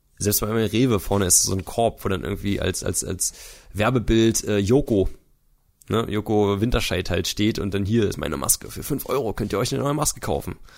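A man with an ordinary speaking voice, fairly low in pitch, with ordinary pitch variation and a fairly quick pace. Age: 20s. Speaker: YouTuber. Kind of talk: casual chat.

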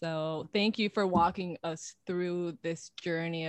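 A woman with an unremarkable speaking voice talks at a fairly low pitch with fairly even intonation, in a dry, close sound with no echo. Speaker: podcast co-host. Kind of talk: interview. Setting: video call.

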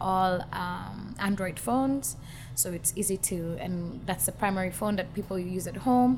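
A woman's somewhat breathy voice holds a medium pitch. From Kenya. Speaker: musician. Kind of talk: interview. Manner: hesitant fillers.

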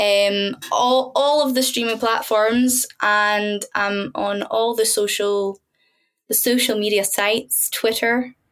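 In a Scottish accent, a woman speaks very slowly at a fairly high pitch with fairly even intonation. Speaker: singer-songwriter. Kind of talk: casual chat.

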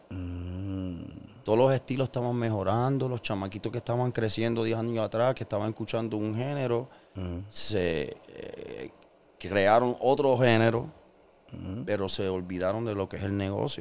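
Delivered at a moderate pace, this is an ordinary speaking voice with ordinary pitch variation. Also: man, medium pitch for a man. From Puerto Rico, Carolina. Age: 40s. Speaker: musician. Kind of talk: casual interview chat.

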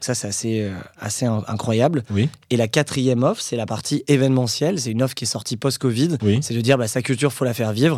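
A man talks at a fairly quick pace and medium pitch, his pitch varying in an ordinary way. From Paris region, Hauts-de-Seine. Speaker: entrepreneur. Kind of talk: casual interview. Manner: hesitant with fillers.

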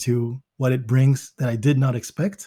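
A man with an American accent speaks at a medium pitch in a dark, mellow, somewhat breathy tone. His intonation is fairly even, and the recording is very clean with a silent background. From Belgium, with childhood in Zimbabwe and the US; Congolese parents. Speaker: MBA student and entrepreneur. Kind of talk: interview.

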